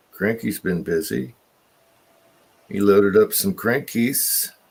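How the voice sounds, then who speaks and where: A man talks at a very slow pace. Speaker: livestream co-host. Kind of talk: casual chat. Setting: video livestream. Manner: slurred speech.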